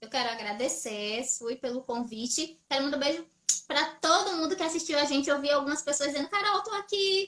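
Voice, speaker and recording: Raising and projecting her voice, a woman speaks at a high pitch with lively intonation. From Brazil. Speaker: English teacher. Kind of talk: live stream chat.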